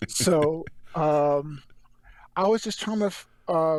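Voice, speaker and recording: A man with an American accent and a fairly high pitch speaks at a very slow pace. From North Carolina, Rocky Mount. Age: 40s. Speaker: actor. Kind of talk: interview. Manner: stutter; halting.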